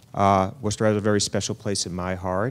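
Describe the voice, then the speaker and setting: Someone with a slight New York accent talks at a moderate pace with fairly even intonation, on a very clean recording with a silent background. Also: man. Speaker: health insurance exchange official. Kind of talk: panel remarks.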